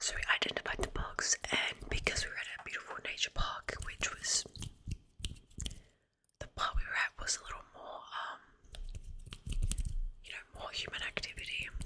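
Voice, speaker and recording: A woman whispers at a moderate pace, her loudness swinging widely. Long, frequent pauses break it up over noticeable background noise. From Australia. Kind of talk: ASMR casual storytime talk. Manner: rambling, chatty.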